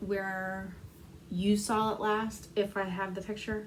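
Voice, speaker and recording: Amid audible room echo and noticeable background noise, a woman speaks at a very slow pace in a fairly high pitch. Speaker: cross stitch vlogger. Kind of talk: casual chat. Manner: soft-spoken; hesitant. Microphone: may be too quiet.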